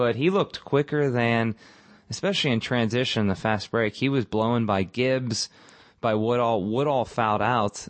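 Speaking at a moderate pace, a man with an unremarkable speaking voice keeps a fairly low pitch and ordinary pitch variation. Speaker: podcast host. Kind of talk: casual sports podcast chat.

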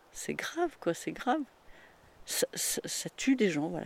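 Heard on a very clean recording with a silent background, the woman talks fairly slowly. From rural France, farm upbringing. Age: 60s. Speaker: retired farm-raised woman telling her life story. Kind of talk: casual interview, life story. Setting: at her home.

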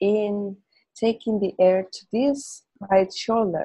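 This woman speaks at a very slow pace with a Spanish accent. Her pitch sits in the medium range. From Spain. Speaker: Feldenkrais teacher. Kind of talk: interview conversation; guided movement lesson.

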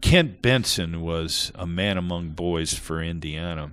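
Slow-paced and very deep, a man's voice carries an American accent. The pace is fairly slow throughout. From Ohio. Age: 60s. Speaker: former college basketball player. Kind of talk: interview.

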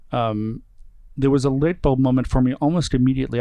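A man's dark, mellow voice at medium pitch, with an American accent and fairly even intonation. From US Northeast, suburb of Boston. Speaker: opera company executive. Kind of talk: interview. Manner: halting.

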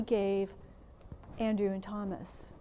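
A woman with an American accent speaks in a dark, mellow tone at a fairly slow pace. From Minnesota, US. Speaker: theologian and advocacy leader. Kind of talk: conference workshop talk. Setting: conference workshop with audience.

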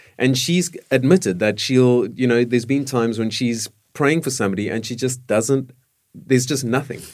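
A man speaks with a normal speaking voice at a medium pitch. His pace is moderate and his pitch variation ordinary. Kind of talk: casual panel discussion.

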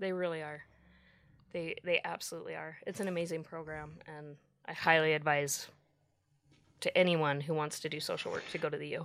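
A woman's very deep, low voice, monotone and flat, at a fairly quick pace with long, frequent pauses and big swings in loudness, on a very clean recording with a silent background. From Utah. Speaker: recovered addict, social worker at a treatment center. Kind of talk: interview testimony. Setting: studio.

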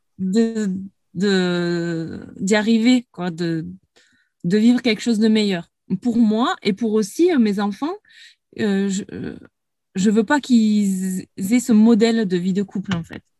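A woman's somewhat breathy, dark, mellow voice at medium pitch, with ordinary pitch variation, a very slow pace and a dry, close sound with no echo. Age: 30s. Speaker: former coaching client. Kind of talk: interview. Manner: halting.

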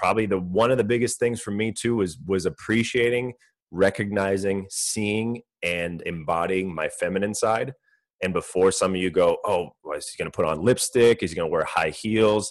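Against a quiet background, a man with a Californian accent speaks at a fairly low pitch. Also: ordinary pitch variation, moderate pace. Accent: Californian American English. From US West Coast, Orange County, California. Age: 30s. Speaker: entrepreneur and personal trainer. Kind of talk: podcast interview.

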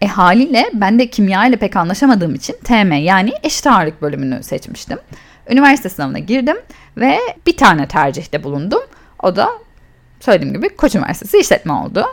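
A woman's medium-pitched voice at a fairly quick pace, with very wide swings in pitch. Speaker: podcast host and cosmetics entrepreneur. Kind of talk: solo storytelling podcast.

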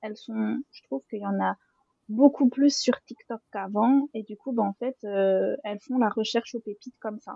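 A woman with an unremarkable speaking voice talks at a fairly high pitch and fairly slow pace, with ordinary pitch variation. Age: 20s. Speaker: literary influencer and critic. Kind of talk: casual roundtable discussion.

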